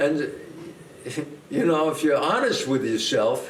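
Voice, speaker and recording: A man speaks with a New York accent. The room echo is audible. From US Northeast. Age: 80s+. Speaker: actor. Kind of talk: casual chat.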